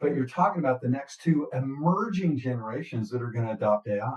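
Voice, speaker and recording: A man talks at a medium pitch, somewhat breathy. His pitch varies in an ordinary way. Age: 60s. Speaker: business podcast co-host. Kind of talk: casual chat. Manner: halting, many fillers and restarts.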